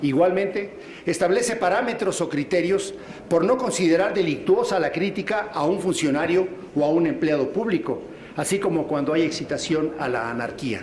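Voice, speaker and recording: At a moderate pace, a man speaks with a high pitch and lively intonation, with noticeable background noise and audible room echo. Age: 60s. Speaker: state legislator. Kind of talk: legislative speech. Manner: formal.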